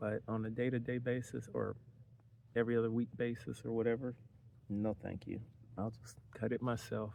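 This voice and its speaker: A man's voice at a moderate pace, in monotone, flat intonation. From city-raised. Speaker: van life vlogger. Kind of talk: casual vlog monologue. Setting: outdoors at a campsite. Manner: talking low; hesitant, many fillers.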